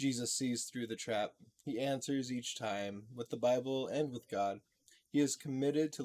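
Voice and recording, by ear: In a natural voice with ordinary pitch variation, a person reads aloud while the background stays quiet.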